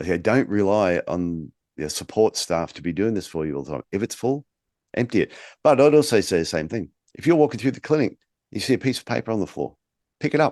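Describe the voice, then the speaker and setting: A man with an Australian accent talks at a very fast pace in a fairly low voice. His pitch swings very widely, and the background is quiet. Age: 50s. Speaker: podcast host, podiatry business coach. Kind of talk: casual chat.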